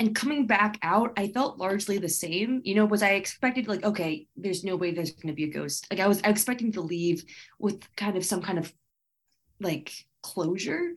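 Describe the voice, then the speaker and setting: A woman speaks in an ordinary speaking voice at a medium pitch. Her pitch varies in an ordinary way. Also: moderate pace. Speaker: comedian and podcast host. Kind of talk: casual interview. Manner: casual, youthful, uses like often.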